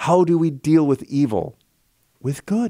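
A man's warm-toned voice at a fairly slow pace, dry with no echo, over a quiet background. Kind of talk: relaxed radio chat. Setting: radio studio, live broadcast. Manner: conversational, warm, rambling. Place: studio. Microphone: studio mic.

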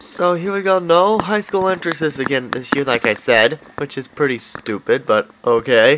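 A man talks at a moderate pace with a fairly high pitch and lively intonation. He hardly pauses, and background noise is noticeable. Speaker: video game commentator. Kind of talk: gameplay commentary. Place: home room. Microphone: phone near.

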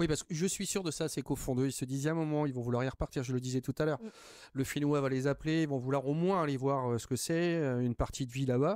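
A man talks at a very fast pace in a fairly high voice. The sound is dry with no echo, and the background is quiet. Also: ordinary pitch variation. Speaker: TV talk show host. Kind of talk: TV interview. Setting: TV studio. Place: studio. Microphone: studio mic.

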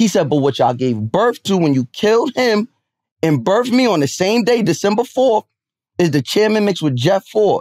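Over a quiet background, a man with a high pitch talks at a moderate pace with very wide pitch swings and very even loudness, the sound dry with no echo. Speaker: podcast host. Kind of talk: casual chat. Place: studio. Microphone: studio mic.

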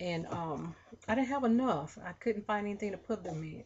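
A somewhat breathy woman at a moderate pace over light background noise. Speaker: haul vlogger. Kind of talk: casual vlog chat. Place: home room. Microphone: webcam.

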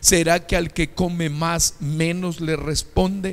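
This is a man speaking. His pitch is high. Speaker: pastor. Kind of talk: sermon. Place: church. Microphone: handheld.

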